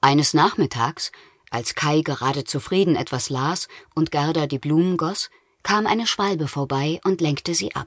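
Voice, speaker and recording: A woman's very deep, low voice at a moderate pace, with ordinary pitch variation and a dry, close sound with no echo. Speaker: audiobook narrator. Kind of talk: audiobook narration of a children's fairy tale, dramatic storytelling. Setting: studio.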